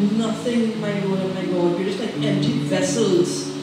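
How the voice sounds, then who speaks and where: A woman talks over loud background noise, with audible echo in the room. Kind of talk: opening prayer. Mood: fervent, reverent. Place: church.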